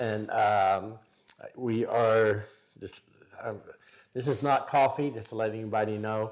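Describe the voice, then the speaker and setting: A man talks at medium pitch and a fairly slow pace with fairly even intonation. He leaves long, frequent pauses. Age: 60s. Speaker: podcast co-host and motivational speaker. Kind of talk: casual chat.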